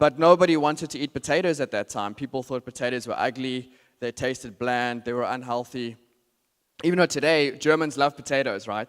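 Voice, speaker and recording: A man with a South African accent talks at a fairly quick pace in a medium pitch. The sound is dry and close with no echo, on a very clean recording with a silent background. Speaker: marketing strategist, conference speaker. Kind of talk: conference talk. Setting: stage with audience. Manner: hesitant, many fillers.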